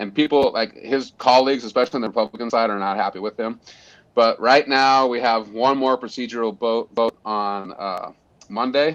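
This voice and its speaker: An American man with an unremarkable speaking voice talks at a medium pitch and moderate pace, his intonation fairly even. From Montana. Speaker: conservation group leader. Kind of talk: podcast interview.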